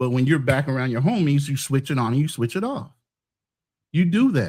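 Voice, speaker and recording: Fairly quick, somewhat breathy male speech, its pitch varying in an ordinary way. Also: fairly high pitch for a man. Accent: American. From US East Coast (Maryland, upstate New York, Philly). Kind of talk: heated debate. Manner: clear enunciation.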